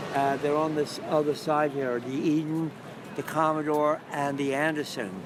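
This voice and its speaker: Noticeable background noise sits behind a man with a fairly high pitch. He keeps a moderate pace with monotone, flat intonation. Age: 70s. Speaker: mosaic artist and Vietnam veteran. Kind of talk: casual interview on location. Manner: halting, many fillers.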